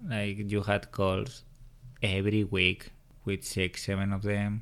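With a strong Spanish accent, a man speaks at a fairly slow pace and fairly low pitch on a very clean recording with a silent background. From Spain (Madrid). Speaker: host's partner. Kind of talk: casual chat. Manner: shy.

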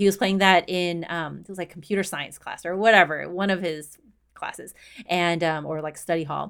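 In a very clean recording with a silent background, a woman with an American accent and an ordinary speaking voice talks at a moderate pace and a fairly low pitch, with fairly even intonation and big swings in loudness. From Houston, Texas. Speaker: runner and diversity advocate. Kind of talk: casual interview.

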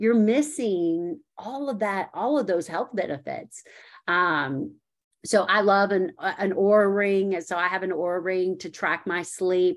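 A woman speaks at a fairly slow pace in an unremarkable speaking voice, her medium pitch set against a quiet background. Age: 40s. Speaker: registered dietitian. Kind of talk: casual interview.

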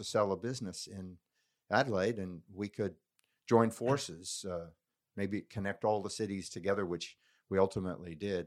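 This man has an American accent and an unremarkable speaking voice, fairly low in pitch with fairly even intonation. He goes at a moderate pace on a very clean recording with a silent background. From US Colorado. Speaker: business mentor and former executive. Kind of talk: casual interview conversation. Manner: informal, humorous.

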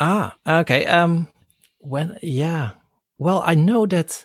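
On a very clean recording with a silent background and a dry, close sound with no echo, a man speaks with a Dutch accent. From Netherlands, Rotterdam. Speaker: professor, podcaster. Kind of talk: casual interview. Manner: hesitant, many fillers and repetitions.

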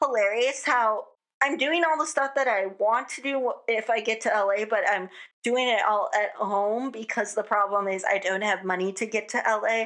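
Against a quiet background, a woman with a bright, sharp tone speaks at a moderate pace in a fairly high pitch with ordinary pitch variation. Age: 20s. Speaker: podcast host. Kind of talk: solo casual podcast monologue.

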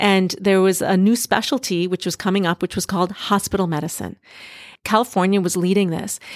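Here is an ordinary speaking voice from a woman at medium pitch. The sound is dry and close, without echo. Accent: American. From US Midwest, Duluth, Minnesota. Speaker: doctor. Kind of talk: interview.

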